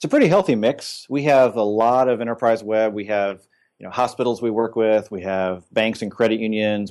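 Against a quiet background, a man with an American accent uses an unremarkable speaking voice, fairly low in pitch, at a moderate pace with fairly even intonation. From Indiana, US Midwest. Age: 40s. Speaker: agency president and CEO. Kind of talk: casual interview.

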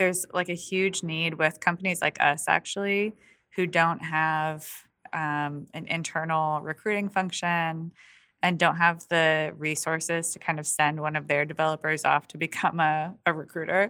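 A woman speaks at a fairly low pitch in a bright, sharp tone. Her intonation stays monotone and flat. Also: moderate pace, very clean recording, silent background. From rural western New York State. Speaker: growth marketer and podcaster. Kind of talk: casual interview chat.

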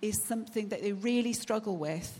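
A woman uses an ordinary speaking voice, pitched fairly high with ordinary pitch variation. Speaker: charity representative. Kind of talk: speech. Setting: church.

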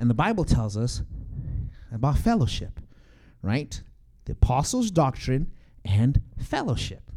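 This man's voice sits at a medium pitch, with a dark, mellow tone and a somewhat breathy quality. He speaks at a fairly slow pace with very wide pitch swings and long, frequent pauses. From Zimbabwe. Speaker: church teacher. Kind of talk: church class teaching.

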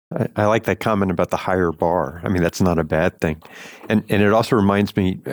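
With a West Coast accent, a man speaks fairly quickly at a very deep, low pitch, his loudness very even and the sound dry and close with no echo. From Los Angeles. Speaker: lawyer and podcast co-host. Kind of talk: interview.

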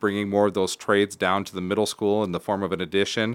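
The man speaks at a fairly low pitch in a monotone, flat delivery. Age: 30s. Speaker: school superintendent. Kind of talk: casual interview. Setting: studio.

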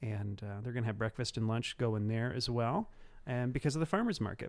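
A man's medium-pitched voice with a Midwestern American accent, fairly quick, with ordinary pitch variation, on a very clean recording with a silent background. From Cumberland County, central Illinois. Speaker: city tourism director. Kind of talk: casual interview chat.

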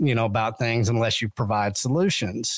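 Ordinary pitch variation, with a West Texas accent. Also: man. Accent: West Texas drawl. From West Texas (Texas panhandle). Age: 50s. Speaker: podcast host. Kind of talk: casual interview chat.

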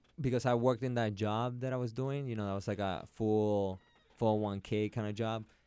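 A man's medium-pitched voice with a Puerto Rican accent, fairly quick and fairly even in intonation, on a very clean recording with a silent background. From Puerto Rico (Carolina). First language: Spanish. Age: 30s. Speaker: jiu-jitsu and MMA practitioner. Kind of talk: casual chat.

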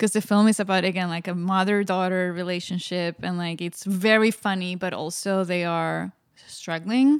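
In a very clean recording with a silent background, a woman with a Spanish accent speaks in fairly even intonation. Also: medium pitch for a woman, moderate pace. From Spain. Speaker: filmmaker and artist. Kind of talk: interview.

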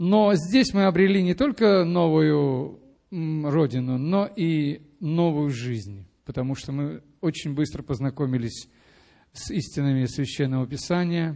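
A man talks at a very slow pace with lively intonation. His voice has a fairly high pitch and a dark, mellow tone. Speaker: church member giving testimony. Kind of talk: testimony. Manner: halting, hesitant.

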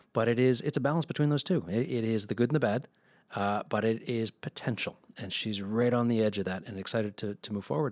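In a very clean recording with a silent background and a dry, close sound free of echo, a man talks fairly quickly in an unremarkable speaking voice at medium pitch with ordinary pitch variation. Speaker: podcast host. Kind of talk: casual chat.

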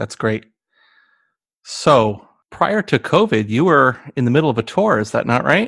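In a General American accent, the speaker moves through very wide pitch swings at a fairly slow pace with long, frequent pauses, on a very clean recording with a silent background. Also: man, medium pitch for a man. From United States. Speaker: podcast host. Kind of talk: interview.

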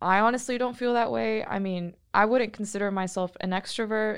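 A woman talks in a plain, everyday voice at a fairly quick pace with ordinary pitch variation. The recording is very clean, with a silent background. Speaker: podcast host, recent graduate. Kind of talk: casual chat.

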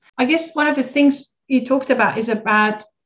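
A woman's voice comes through somewhat breathy. Her pitch varies in an ordinary way. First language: not English. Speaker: podcast host, founder of pharma training company. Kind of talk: interview conversation.

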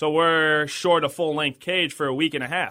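This man has an ordinary speaking voice with a fairly high pitch. He talks at a moderate pace. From southern Minnesota. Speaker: college baseball head coach. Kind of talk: casual interview. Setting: studio.

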